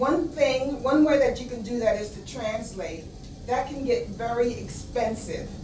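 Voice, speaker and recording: Over noticeable background noise and audible room echo, the speaker talks at a fairly slow pace with ordinary pitch variation and big swings in loudness. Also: woman, high pitch for a woman. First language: not English (English is third language). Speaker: technical writer. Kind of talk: impromptu speech. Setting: club meeting. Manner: formal.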